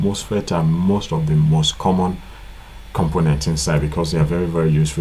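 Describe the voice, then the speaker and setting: Amid noticeable background noise and audible room echo, a man speaks in a very deep, low voice with fairly even intonation. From Nigeria. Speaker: electronics repair tutor. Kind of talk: tutorial. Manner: casual, repetitive with filler.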